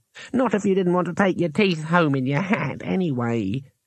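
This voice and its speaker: A high-pitched put-on character voice from a man, at a moderate pace. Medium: read story.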